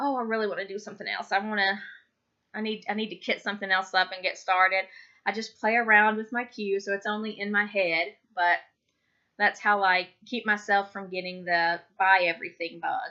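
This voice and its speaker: A woman talks at a fairly quick pace and medium pitch with a bright, sharp tone and fairly even intonation, over a quiet background. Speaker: crafting vlogger. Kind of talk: casual vlog chat. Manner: fast; hesitant, many ums.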